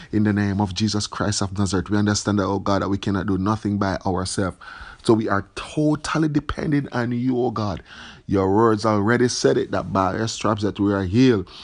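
Ordinary pitch variation marks this man's fairly low-pitched delivery, a plain, everyday voice. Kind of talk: fervent prayer. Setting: online video message. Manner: earnest, pleading; repetitive, fervent.

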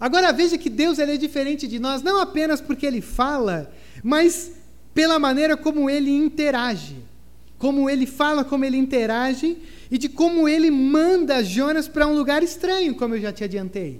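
A man's extremely high voice, animated, at a moderate pace with ordinary pitch variation. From southern Brazil. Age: 30s. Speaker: pastor. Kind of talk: sermon.

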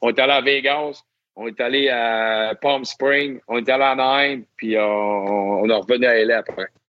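A man's normal speaking voice, medium in pitch, with fairly even intonation and a fairly slow pace. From Quebec, Lac-Saint-Jean (Albanel). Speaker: NHL hockey referee. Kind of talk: interview storytelling.

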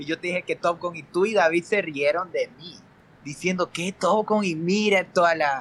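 Fairly even intonation at a moderate pace, with a dry, close sound and no echo. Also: man, high pitch for a man. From Ecuador. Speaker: film critic. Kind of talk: casual chat.

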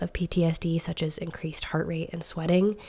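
The tone is dark and mellow, with a somewhat breathy quality. The intonation stays monotone and flat. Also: woman. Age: 30s. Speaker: podcast host. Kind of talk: casual solo podcast monologue. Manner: conversational with frequent fillers.

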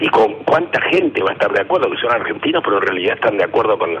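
This is a man speaking. Noticeable background noise runs underneath. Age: 80s+. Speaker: political activist. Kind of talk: radio interview.

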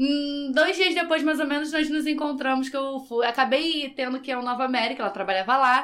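Speaking at a fairly quick pace with hardly any pauses, a woman uses a high pitch with ordinary pitch variation. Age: 30s. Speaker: podcast guest. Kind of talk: casual chat.

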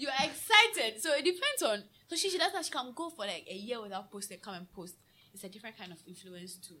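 A woman with a high pitch speaks at a very fast pace in a raised, projected voice. Her tone is bright and sharp, with very wide pitch swings and big swings in loudness. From Ghana. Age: 20s. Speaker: drinks seller. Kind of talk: casual chat.

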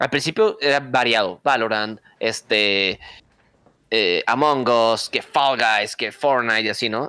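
Bright and sharp in tone, a man's voice holds a medium pitch with ordinary pitch variation. He talks at a very slow pace. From Mexico, Monterrey. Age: 20s. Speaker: streamer and content creator. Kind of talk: casual chat.

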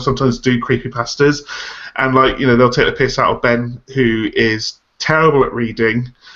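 This man has a plain, everyday voice, medium in pitch with ordinary variation, and he talks at a moderate pace. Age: 30s. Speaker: podcast co-host. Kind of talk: casual chat.

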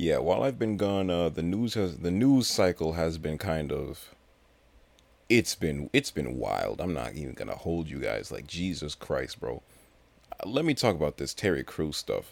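With an American accent, a man speaks at a moderate pace in a very deep, low pitch with vocal fry and very wide pitch swings, on a very clean recording with a silent background. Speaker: podcast host. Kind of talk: casual solo podcast monologue. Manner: rambling, filler-heavy, casual.

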